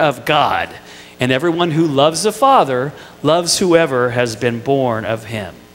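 A man is speaking. He has an American accent. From Indiana, US Midwest. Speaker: pastor. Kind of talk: sermon. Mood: warm, light humour. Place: church. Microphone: headset.

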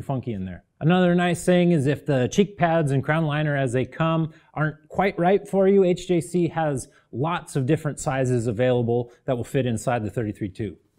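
Lively intonation runs through speech at a moderate pace, set against a quiet background. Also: man. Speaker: product reviewer. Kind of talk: product review presentation. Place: studio.

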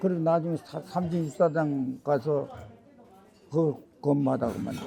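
Amid noticeable background noise, a man speaks fairly slowly at a fairly high pitch with ordinary variation. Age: 80s+. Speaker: war veteran. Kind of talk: life story interview. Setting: at home. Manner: halting.

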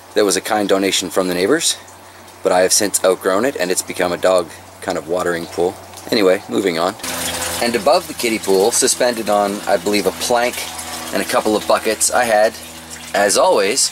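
Over noticeable background noise, a man talks at a fairly quick pace and a fairly low pitch with ordinary pitch variation, the sound dry with no echo. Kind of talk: tutorial. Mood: relaxed, joking. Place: garden. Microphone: phone near.

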